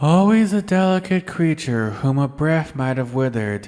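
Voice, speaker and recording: Put-on character voice from a man, delivered at a moderate pace. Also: fairly high pitch for a man. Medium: read story. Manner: calm, measured.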